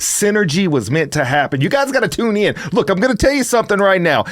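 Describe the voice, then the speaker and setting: A very fast, energetic man with a Southern US accent. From US South. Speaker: motivational speaker. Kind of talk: casual chat.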